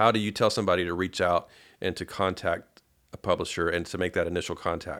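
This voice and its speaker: A man speaks in a very deep, low voice with monotone, flat intonation. His pace is fairly quick, and the recording is very clean with a silent background. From Paducah, Kentucky. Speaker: podcast host. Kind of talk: interview. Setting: guest's home studio.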